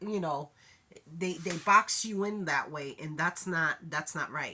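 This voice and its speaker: A woman's fairly low voice has a bright, sharp tone and ordinary pitch variation. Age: 60s. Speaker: vlogger. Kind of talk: casual chat. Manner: halting.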